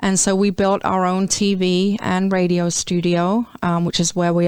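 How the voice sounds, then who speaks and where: A woman's medium-pitched, monotone voice with flat intonation and an English accent, on a very clean recording with a silent background. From England, London. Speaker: marketing agency owner. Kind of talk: radio interview. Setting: studio.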